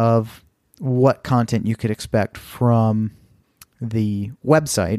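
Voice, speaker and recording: A dark, mellow voice with an American accent comes through dry and close, with no echo. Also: man. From Texas. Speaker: podcast host. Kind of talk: solo podcast monologue.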